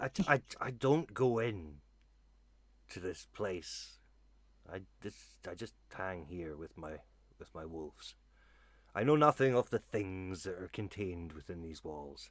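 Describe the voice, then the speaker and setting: In a put-on character voice, the speaker moves at a fairly slow pace with long, frequent pauses, in a very clean recording against a silent background. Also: man, very deep, low pitch for a man. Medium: actual play. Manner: curt, guarded.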